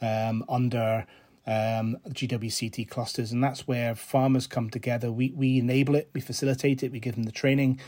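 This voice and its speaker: Monotone and flat, a dark, mellow voice with a Scottish accent comes through on a very clean recording with a silent background. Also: man. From Scotland, rural Renfrewshire. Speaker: conservation charity director. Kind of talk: interview. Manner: halting.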